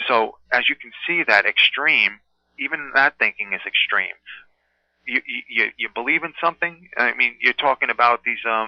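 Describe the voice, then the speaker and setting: Speaking with ordinary pitch variation, a man keeps a medium pitch and a moderate pace. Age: 30s. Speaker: martial arts instructor. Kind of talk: interview. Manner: animated.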